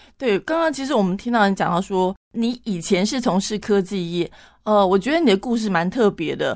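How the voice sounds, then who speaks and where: A woman's medium-pitched voice with lively intonation, on a very clean recording with a silent background. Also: fairly quick pace. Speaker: radio host. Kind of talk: radio interview. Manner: fast.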